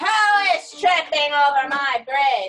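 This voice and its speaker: Bellowing in a put-on character voice, a woman speaks at a very slow pace with a high pitch. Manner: roaring.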